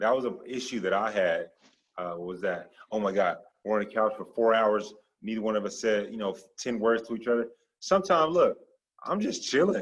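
A man speaks at a medium pitch with lively intonation. He has an ordinary speaking voice. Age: 30s. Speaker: author and Air Force veteran. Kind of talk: casual chat.

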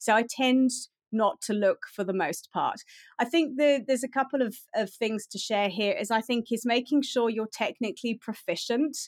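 With a British accent, a woman speaks at a fairly high pitch. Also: ordinary pitch variation, moderate pace, dry, close sound with no echo, very clean recording, silent background. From UK. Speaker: pet photographer. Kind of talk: interview.

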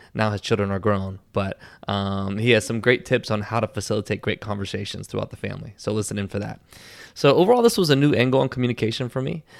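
Very fast and animated, a man with a fairly low voice speaks in an energetic tone with ordinary pitch variation on a very clean recording with a silent background. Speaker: podcast host. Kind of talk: casual interview. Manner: animated, energetic.

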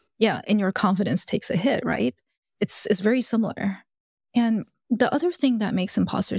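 Recorded dry and close with no echo, a woman with an American accent talks at a fairly quick pace, with vocal fry and ordinary pitch variation. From US South, Alabama. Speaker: executive coach. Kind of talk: interview. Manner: animated.

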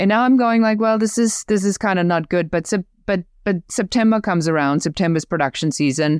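A woman with a German accent talks at a fairly quick pace with lively intonation and a medium pitch, her sound dry and close with no echo on a very clean recording with a silent background. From Germany. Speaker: business growth coach. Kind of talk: interview, casual conversation.

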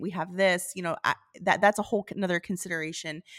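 In a very clean recording with a silent background, a woman with an unremarkable speaking voice talks at medium pitch with fairly even intonation, the sound dry and close with no echo. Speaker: flower farmer and podcast host. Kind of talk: casual chat.

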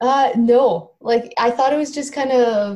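A woman with a Canadian accent speaks very slowly in a somewhat breathy, dark, mellow tone. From Canada, rural Alberta. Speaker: professional volleyball player. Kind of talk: interview.

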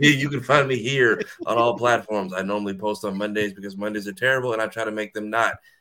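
A man speaks at a fairly quick pace and a medium pitch. He has a plain, everyday voice with fairly even intonation. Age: young. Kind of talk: casual chat.

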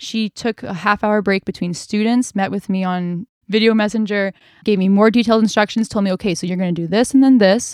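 On a very clean, dry, close recording with no echo and a silent background, a woman speaks in an ordinary speaking voice at medium pitch, fairly quick with hardly any pauses and fairly even intonation. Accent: Canadian. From Canada, British Columbia (North Vancouver). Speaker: singer and vocal coach. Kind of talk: casual interview chat.

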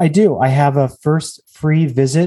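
There's an American accent in this man's speech. His delivery carries a somewhat breathy edge. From US West Coast, Los Angeles. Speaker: stress relief bodywork practitioner. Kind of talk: podcast interview.

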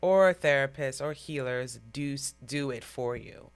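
Over music in the background, a woman talks in a very deep, low pitch with ordinary pitch variation. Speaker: podcast host. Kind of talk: casual interview.

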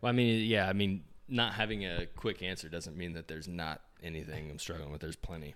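Speaking with an American accent, a man with a very deep, low pitch keeps a fairly quick pace with hardly any pauses. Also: ordinary pitch variation, big swings in loudness. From small-town Indiana, US Midwest. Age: 20s. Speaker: fitness magazine cofounder, entrepreneur. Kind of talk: casual interview chat. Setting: in-person in an Airbnb.

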